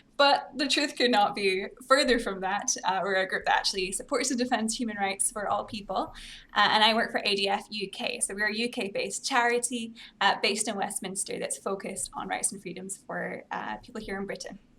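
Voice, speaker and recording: Her pitch is fairly high, with ordinary pitch variation. The speaker is a woman. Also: fairly quick pace. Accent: American. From Scotland. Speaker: pro-life advocate and commentator. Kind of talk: interview conversation.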